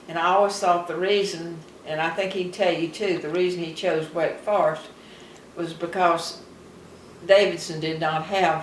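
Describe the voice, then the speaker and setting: A woman's fairly low voice in a Southern US accent, fairly slow in pace with fairly even intonation, over noticeable background noise. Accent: Southern American. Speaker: retired farmer. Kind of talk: interview answer.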